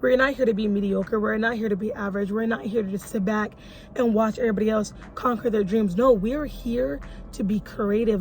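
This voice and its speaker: Noticeable background noise sits behind a woman with a fairly high pitch. She sounds animated, with ordinary pitch variation and a fairly quick pace. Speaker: motivational vlogger. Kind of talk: motivational talk to camera. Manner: fast.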